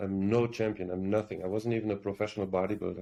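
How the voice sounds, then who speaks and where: With a strong German accent, a man speaks in a dark, mellow tone at a fairly low pitch with fairly even intonation. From Germany. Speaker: actor. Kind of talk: interview.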